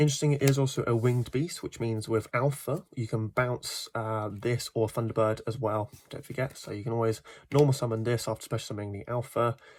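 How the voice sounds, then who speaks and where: Fairly quick and somewhat breathy, a man talks at medium pitch. His intonation is fairly even. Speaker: card game deck reviewer. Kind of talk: casual deck profile talk.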